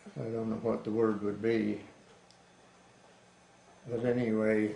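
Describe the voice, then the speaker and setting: Monotone and flat, a man with a fairly low pitch and an American accent speaks at a very slow pace. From Wellsville, USA. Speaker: grandfather recounting life story. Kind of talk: oral history interview answer. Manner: slow, reminiscent.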